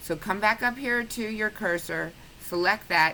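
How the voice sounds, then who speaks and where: This woman talks at a medium pitch with lively intonation. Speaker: quilting tutorial maker. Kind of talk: tutorial.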